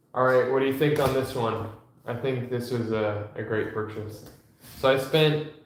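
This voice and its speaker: Moderate pace from a man with an American accent, medium pitch, fairly even intonation, and audible room echo. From Washington state, US. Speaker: sports card seller streamer. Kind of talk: casual live stream chat.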